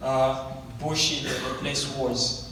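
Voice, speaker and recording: A man speaks with audible room echo. Noticeable background noise is present. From Zambia. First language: not English. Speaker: guest speaker sharing life story. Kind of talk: testimony. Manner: slow; halting.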